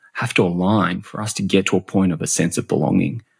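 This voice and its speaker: With an Australian accent, a man speaks in a very deep, low voice with ordinary pitch variation. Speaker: customer and employee experience expert. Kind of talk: podcast interview. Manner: halting, many repetitions.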